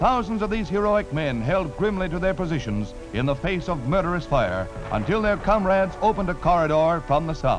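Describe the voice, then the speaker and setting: A man with a high voice speaks in a dramatic tone at a fairly quick pace. His intonation is lively, and music plays in the background. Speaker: newsreel narrator. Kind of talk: vintage newsreel narration. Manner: dramatic, urgent.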